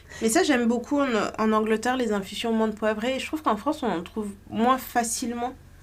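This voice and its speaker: A fairly high-pitched woman talks at a very fast pace, her pitch varying an ordinary amount. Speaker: podcast co-host. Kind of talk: casual chat.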